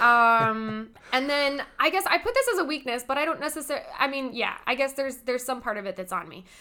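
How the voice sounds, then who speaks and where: Raised and projected, a woman's bright, sharp, high voice races along at a fairly quick pace with lively intonation and hardly any pauses. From California, Inland Empire. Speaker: theater director and performer. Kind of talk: casual interview chat.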